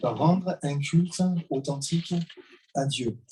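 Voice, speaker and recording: With a dark, mellow tone that is somewhat breathy, a man speaks at a fairly high pitch with ordinary pitch variation. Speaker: preacher. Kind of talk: sermon. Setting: church service.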